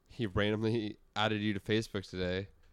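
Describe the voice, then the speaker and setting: The intonation is monotone and flat. The recording is very clean with a silent background. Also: man. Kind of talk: casual chat.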